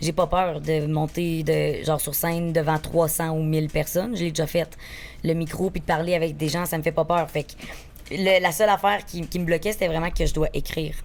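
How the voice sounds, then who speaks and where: Speaking at a fairly quick pace, the woman has a fairly low pitch. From Quebec, Beauce region. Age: 20s. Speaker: actress and social media content creator. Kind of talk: casual podcast interview. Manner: spontaneous, energetic.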